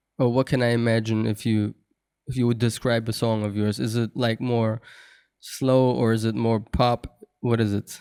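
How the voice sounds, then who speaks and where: A man's medium-pitched, dark, mellow voice, monotone and flat, with a dry, close sound and no echo. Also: moderate pace. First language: not English. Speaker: podcast host. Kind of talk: casual interview.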